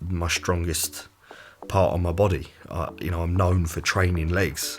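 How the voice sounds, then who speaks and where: At a very deep, low pitch, a man speaks slowly-ish, at a fairly slow pace with fairly even intonation. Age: 20s. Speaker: personal trainer and fitness vlogger. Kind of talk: casual talk to camera. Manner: occasional stutter.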